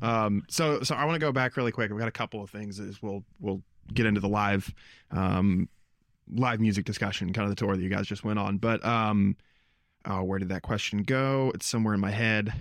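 A man talks at a fairly quick pace in an unremarkable speaking voice. His pitch is fairly low, with ordinary variation. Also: very clean recording, silent background. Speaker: podcast host. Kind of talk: interview, casual conversation. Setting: band practice room.

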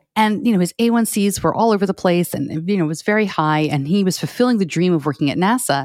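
Words pour out at a very fast pace with hardly any pauses, the loudness very even and the intonation lively. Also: woman, medium pitch for a woman. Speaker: podcaster and parent of a child with diabetes. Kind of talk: interview. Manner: fast when excited.

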